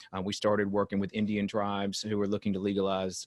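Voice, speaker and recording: At a very fast pace, a man with a North Carolina accent and a fairly low pitch speaks against a quiet background in a dry, close sound with no echo. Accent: Southern US (North Carolina). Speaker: company executive. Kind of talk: interview. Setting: video call. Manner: hesitant, many fillers.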